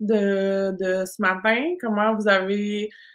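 Medium-pitched female speech in a Quebec accent, set against a quiet background. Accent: Québécois French. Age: 40s. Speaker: business coach. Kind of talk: live online masterclass. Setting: live stream. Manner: animated.

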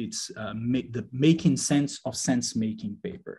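Using a Portuguese accent, a man speaks at a fairly slow pace and medium pitch, with a dark, mellow tone and ordinary pitch variation. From Brazil, Rio de Janeiro. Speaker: doctoral researcher in learning analytics. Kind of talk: interview discussion.

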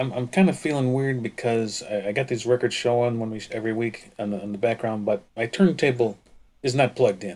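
An ordinary speaking voice delivers the words at a fairly quick pace with ordinary pitch variation. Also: man, medium pitch for a man. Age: 40s. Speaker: podcast co-host. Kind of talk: casual chat.

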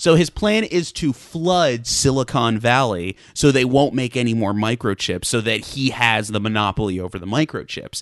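He has a plain, everyday voice at a medium pitch. Speaking at a moderate pace with hardly any pauses, he uses lively intonation. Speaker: podcast co-host. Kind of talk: casual chat.

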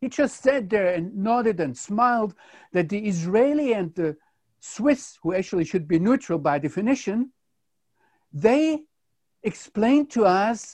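Against a quiet background, a man with a German accent and a high pitch speaks at a very slow pace with lively intonation. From Germany. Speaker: Bible teacher, theologian and journalist. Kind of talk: interviewer asking questions.

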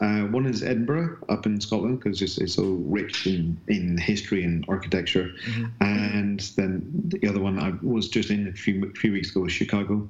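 Speaking with a slight Northern Irish accent, a man keeps his pitch fairly low and barely pauses. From Northern Ireland. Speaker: bodyworker and fascia educator. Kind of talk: casual interview chat.

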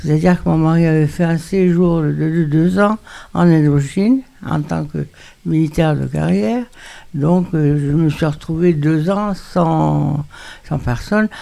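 A woman talks at a very slow pace in a very deep, low pitch. Her tone is dark and mellow, with ordinary pitch variation. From Morocco, Meknes. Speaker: retirement home resident. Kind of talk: personal testimony.

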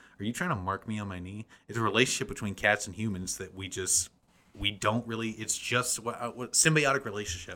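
On a very clean recording with a silent background, a man with an American accent speaks at a fairly quick pace in a bright, sharp tone, fairly low in pitch, with ordinary pitch variation. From small-town US. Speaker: comedian and theater actor. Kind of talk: casual chat.

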